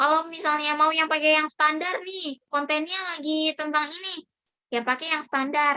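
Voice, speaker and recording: A woman's raised, projected voice, high-pitched and shrill with a bright, sharp tone, at a moderate pace with fairly even intonation. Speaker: public speaking trainer; university student. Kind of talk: online training session. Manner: casual, conversational.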